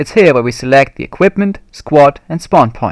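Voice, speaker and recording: A man with a fairly high pitch, lively intonation and a slight non-native accent, in a dry, close sound with no echo. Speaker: video game tutorial maker. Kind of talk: tutorial. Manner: formal.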